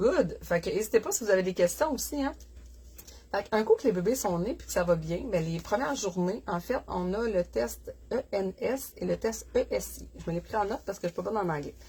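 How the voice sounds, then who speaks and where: A woman speaks with a Quebec accent. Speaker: dog breeder. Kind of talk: casual livestream chat. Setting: live stream from puppy nursery. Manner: casual, chatty with fillers.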